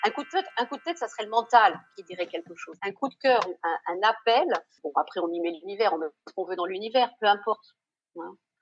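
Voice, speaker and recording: A woman's unremarkable speaking voice at a medium pitch, fairly quick, with lively intonation and big swings in loudness. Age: 60s. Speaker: former doctor turned shop owner. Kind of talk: casual interview chat.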